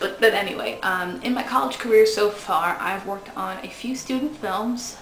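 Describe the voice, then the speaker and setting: Fairly high-pitched woman at a fairly slow pace, ordinary pitch variation, audible room echo and noticeable background noise. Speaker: film student auditioning. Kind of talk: audition video monologue. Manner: casual, somewhat halting with fillers.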